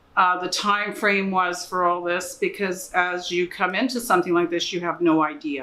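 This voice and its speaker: Against noticeable background noise, a woman talks with a Canadian accent. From Canada. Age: 60s. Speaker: patient's wife. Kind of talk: testimony.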